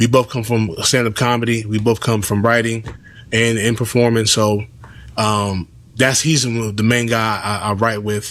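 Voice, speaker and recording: At a moderate pace, the speaker delivers monotone, flat intonation with an American accent. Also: man. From Los Angeles, South Central. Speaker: comedian and filmmaker. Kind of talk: podcast interview.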